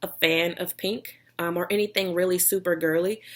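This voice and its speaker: With a slight Texas accent, a woman talks in a fairly low pitch. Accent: slight Texas drawl. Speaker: vlogger, online seller. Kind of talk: casual vlog talk.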